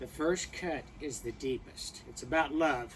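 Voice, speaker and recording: A man at a fairly slow pace. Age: 60s. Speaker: podcast host. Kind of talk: podcast intro read from teleprompter. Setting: filmed by producer.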